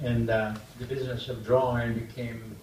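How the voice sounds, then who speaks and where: A man is heard with audible room echo. Noticeable background noise comes through as well. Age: 80s+. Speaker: artist. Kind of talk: public talk with audience Q&A. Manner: halting.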